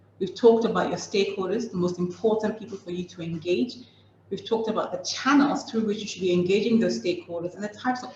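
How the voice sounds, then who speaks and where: A woman talks very fast at medium pitch, with ordinary pitch variation. Her loudness swings a lot, and background noise is noticeable. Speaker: communications consultant. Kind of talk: webinar presentation.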